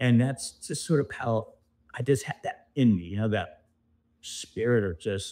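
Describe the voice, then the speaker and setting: A man with an American accent speaks in a normal speaking voice at a moderate pace. His pitch variation is ordinary, and the recording is very clean with a silent background. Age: 60s. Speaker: former amateur golfer. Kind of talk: interview.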